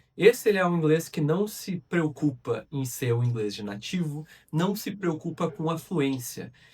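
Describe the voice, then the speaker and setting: At a fairly slow pace, a man speaks in a high pitch with lively intonation. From southern Brazil, Rio Grande do Sul. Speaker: English teacher. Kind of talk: educational monologue. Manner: conversational.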